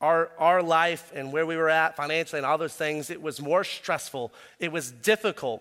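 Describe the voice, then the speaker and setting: A man's fairly high voice with a bright, sharp tone, a moderate pace and fairly even intonation, on a very clean recording with a silent background. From US West, raised in Arizona. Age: 30s. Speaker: pastor. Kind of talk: sermon. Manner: casual, conversational.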